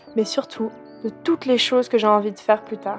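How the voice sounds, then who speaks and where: Music plays in the background. A woman speaks over it at a fairly high pitch. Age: 20s. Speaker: content creator. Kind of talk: scripted narration. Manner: animated.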